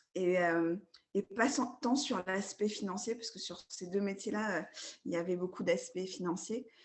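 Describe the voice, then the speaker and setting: A woman with an unremarkable speaking voice talks at a fairly slow pace with ordinary pitch variation. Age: 30s. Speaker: sophrologist. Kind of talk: coaching session.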